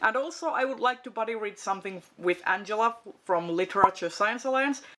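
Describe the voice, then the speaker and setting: With a Finnish accent, a woman speaks at a moderate pace in a bright, sharp tone with lively intonation. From Finland. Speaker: book video creator. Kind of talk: casual chat. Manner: hesitant, many fillers.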